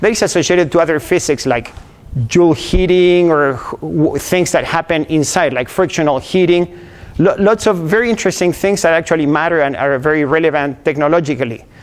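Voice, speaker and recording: Speaking with an Argentine accent, a man uses a high pitch, moderate pace and ordinary pitch variation. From Argentina. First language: Spanish. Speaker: engineering professor. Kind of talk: lecture. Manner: halting, many repetitions and fillers.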